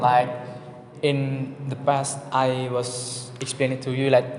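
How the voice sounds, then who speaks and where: Medium-pitched male voice with an Indonesian accent, audible room echo and noticeable background noise. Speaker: student. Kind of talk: class presentation. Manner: halting.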